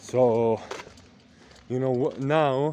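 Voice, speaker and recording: A man at medium pitch with fairly even intonation, amid noticeable background noise. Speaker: vlogger. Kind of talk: casual vlog monologue. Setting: outdoors by a lake. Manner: halting, many fillers and repetitions.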